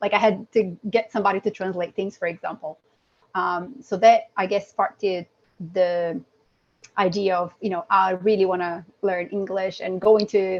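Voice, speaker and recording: A woman of medium pitch speaks in a Brazilian accent at a moderate pace with fairly even intonation. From south Brazil, Curitiba. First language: Portuguese. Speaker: environmental engineer. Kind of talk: interview.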